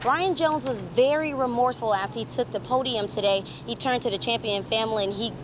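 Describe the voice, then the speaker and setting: Over noticeable background noise, a woman talks at a fairly quick pace with very wide pitch swings. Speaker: TV news reporter. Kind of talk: TV news report.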